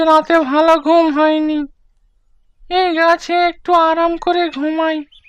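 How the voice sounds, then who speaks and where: A cartoonish character voice delivers extremely high pitch in a monotone, flat intonation. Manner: gruff, threatening.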